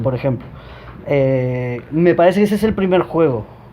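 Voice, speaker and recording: The speaker's intonation is lively, with noticeable noise in the background. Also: man. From Uruguay. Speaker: comedian, comedy teacher. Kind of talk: interview answer.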